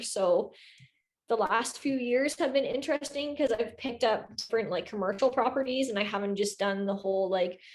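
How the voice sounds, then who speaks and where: The speaker has a plain, everyday voice with a Canadian accent and a fairly quick pace. The recording is very clean, with a silent background. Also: woman. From Ontario, Canada (Kawartha Lakes / Peterborough region). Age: 20s. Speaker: real estate investor and agent. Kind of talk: casual interview chat.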